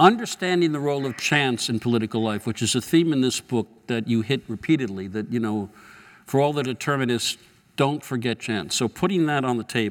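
With an unremarkable speaking voice at a medium pitch, a man talks at a fairly quick pace with lively intonation. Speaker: journalist moderator. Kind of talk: on-stage interview. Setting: stage with audience.

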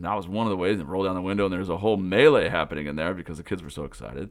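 Over a very clean recording with a silent background, a man speaks with an American accent at a very deep, low pitch, with vocal fry. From US Pacific Northwest (Pullman, Washington). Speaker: summer camp director and podcast host. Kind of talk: podcast monologue report. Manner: loud.

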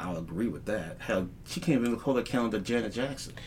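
Audible room echo around a man's voice with an American accent. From Texas. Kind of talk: casual chat. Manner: animated.

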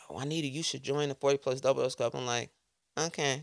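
In a very clean recording with a silent background, a woman with an American accent speaks at a fairly quick pace, with vocal fry and fairly even intonation. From Chicago South Side, then Georgia. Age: 40s. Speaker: educator. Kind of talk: casual chat.

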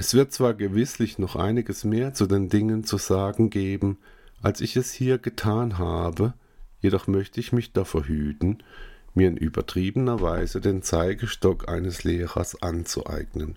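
A man speaks fairly slowly in a fairly low voice with a dark, mellow tone and ordinary pitch variation, sounding solemn and dramatic. The recording is very clean, with a silent background. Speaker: audiobook narrator and author. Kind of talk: dramatic narration of an essayistic text, read aloud in a solemn, theatrical tone. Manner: slow, measured, solemn, with dramatic pauses and weighty emphasis.

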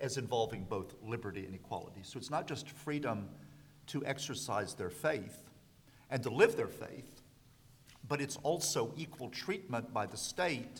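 A man with an American accent speaks at a medium pitch and a moderate pace. His voice is somewhat breathy with lively intonation, and the room echo is audible. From US South. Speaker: law professor. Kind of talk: panel discussion.

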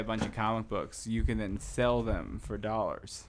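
A man with an American accent has an unremarkable speaking voice, medium in pitch, and keeps a moderate pace. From New Jersey, US. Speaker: podcast guest. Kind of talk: casual chat.

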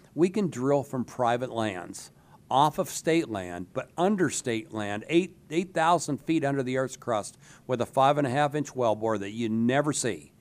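A man with a normal speaking voice at medium pitch talks at a moderate pace with lively intonation. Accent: American. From western Pennsylvania, Du Bois. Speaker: gas industry association president. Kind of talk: interview.

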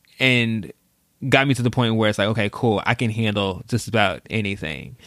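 An unremarkable speaking voice with an American accent and ordinary pitch variation, on a very clean recording with a silent background. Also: man. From Texas (Dallas). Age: 20s. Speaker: social media strategist. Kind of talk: casual chat.

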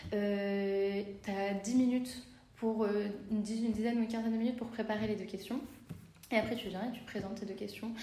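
Over noticeable background noise and audible room echo, a woman with a fairly high pitch speaks at a fairly quick pace in a monotone, flat intonation, with long, frequent pauses. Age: 20s. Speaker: midwife. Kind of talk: interview. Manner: halting.

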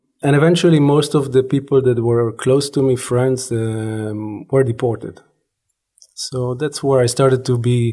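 A man speaks at a moderate pace in a medium pitch, his dark, mellow tone somewhat breathy and his intonation fairly even. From Israel. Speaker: anthropology professor. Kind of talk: interview.

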